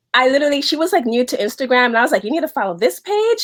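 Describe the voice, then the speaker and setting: A woman is speaking. She has a slight New York accent. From New York City, the Bronx. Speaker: wardrobe stylist. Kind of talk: casual chat. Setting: video call.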